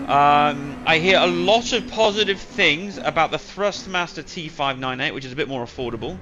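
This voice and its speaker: Backed by music, a man with a fairly high voice makes very wide pitch swings and big swings in loudness. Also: moderate pace, hardly any pauses. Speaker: sim racing streamer. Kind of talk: live stream chat while gaming. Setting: home gaming rig, live stream.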